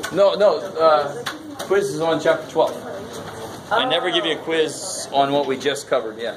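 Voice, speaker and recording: Noticeable background noise sits under speech at a moderate pace with lively intonation. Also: man, fairly high pitch for a man. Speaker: college math instructor. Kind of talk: classroom lecture. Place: classroom.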